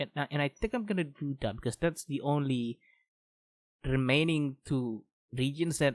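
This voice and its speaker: A man with a non-native accent, fairly high-pitched, talking at a fairly slow pace in a dry, close sound with no echo. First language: not English. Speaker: gaming youtuber. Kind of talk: let's play commentary. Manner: halting; thinking aloud.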